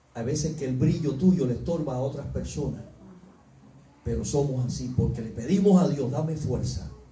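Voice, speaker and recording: The room adds a clear echo to this male voice. His pitch rises and falls in a normal way. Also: medium pitch for a man, moderate pace. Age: 60s. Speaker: preacher. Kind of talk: sermon. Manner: animated.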